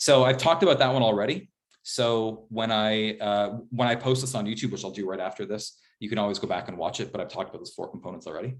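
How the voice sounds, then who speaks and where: Against a quiet background, a man talks at a fairly quick pace. His medium pitch shows ordinary pitch variation. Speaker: professor. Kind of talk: lecture. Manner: fast; casual with fillers.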